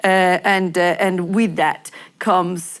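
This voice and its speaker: A woman with an Italian accent speaks at a fairly low pitch. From Italy. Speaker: lawyer. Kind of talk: panel discussion. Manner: halting, many fillers and repetitions.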